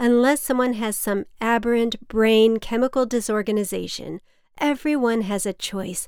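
Fairly slow delivery in a normal speaking voice, pitch varying in an ordinary way. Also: woman. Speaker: podcast writer and performer. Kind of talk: scripted comedic monologue performing a phone dialogue with her mother.

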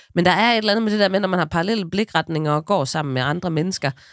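A woman's fairly low voice with ordinary pitch variation, dry and close with no echo, in a very clean recording over a silent background. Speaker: podcast co-host. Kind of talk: casual chat. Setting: studio.

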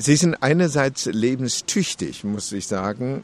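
A man with a medium pitch and lively intonation, at a fairly slow pace. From China, Beijing. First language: Chinese (speaking German). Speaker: interviewee. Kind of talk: interview.

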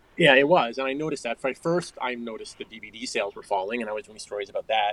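A man with an American accent at a very fast pace, the sound dry and close with no echo. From suburban New York and Connecticut. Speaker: journalist and author. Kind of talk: interview.

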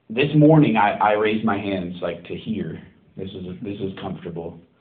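Speaking at a moderate pace, a man uses lively intonation in an unremarkable speaking voice. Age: 30s. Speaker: pastor. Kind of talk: sermon.

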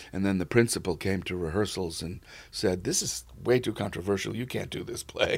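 This speaker has an American accent, ordinary pitch variation and a fairly quick pace. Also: man, fairly low pitch for a man. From New York City, the Bronx. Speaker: casting director. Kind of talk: interview. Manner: calm, laid-back.

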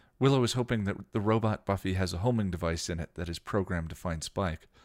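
Reading in an unforced voice

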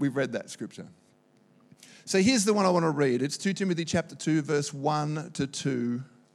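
A man with a plain, everyday voice talks at a moderate pace and fairly high pitch, with ordinary pitch variation, on a very clean recording with a silent background. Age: 40s. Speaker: pastor. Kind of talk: sermon.

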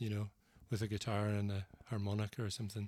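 A man with a Northern Irish accent speaks at a fairly quick pace in a fairly low, dark, mellow voice. The recording is very clean, with a silent background. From Northern Ireland, Banbridge. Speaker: singer-songwriter and author. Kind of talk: casual interview conversation.

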